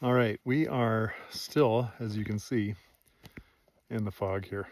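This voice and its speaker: The speaker is a man with a medium pitch. His pace is very slow. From eastern Canada (Ontario/southern Quebec). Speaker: hunter and vlogger. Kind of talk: casual vlog talk to camera. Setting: outdoors on a foggy snowy mountain. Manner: hesitant, many fillers and repeats; quiet, hushed while on hunt.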